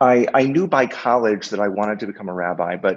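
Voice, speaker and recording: With an American accent, a man talks in a normal speaking voice at medium pitch, keeping a moderate pace and lively intonation. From Boston area, Massachusetts. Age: 40s. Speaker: rabbi. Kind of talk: podcast interview.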